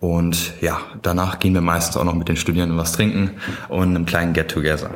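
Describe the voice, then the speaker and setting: A man's voice with audible room echo. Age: 20s. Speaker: student society chair. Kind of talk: podcast interview.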